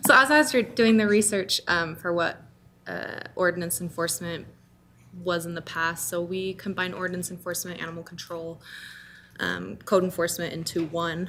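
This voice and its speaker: A soft-spoken woman with a bright, sharp tone, fairly even intonation and medium pitch. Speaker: city ordinance enforcement staff. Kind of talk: public meeting presentation. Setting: city council meeting. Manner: hesitant, many fillers. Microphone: too far from microphone, hard to hear.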